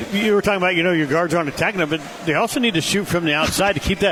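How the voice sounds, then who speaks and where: Noticeable background noise runs under a man's voice. He speaks at a high pitch with ordinary pitch variation. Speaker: radio sports broadcaster. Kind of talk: halftime interview. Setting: courtside radio broadcast. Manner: halting.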